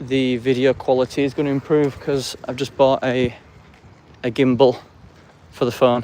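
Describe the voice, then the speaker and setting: A man in an English accent, medium pitch, moderate pace, and monotone, flat intonation. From England. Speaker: live streamer. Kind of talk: casual vlog commentary while walking. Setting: outdoors, walking through city streets and park.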